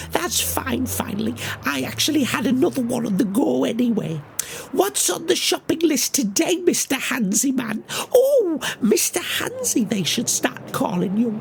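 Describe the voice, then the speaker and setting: Over clear background noise, a woman talks at a moderate pace in a put-on character voice. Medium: audio drama. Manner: chummy, slangy, teasing.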